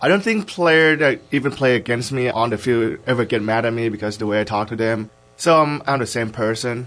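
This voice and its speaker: An unremarkable speaking voice with an American accent moves at a fairly quick pace, with ordinary pitch variation and hardly any pauses. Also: man, medium pitch for a man. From Idaho. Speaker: college football player. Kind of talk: interview.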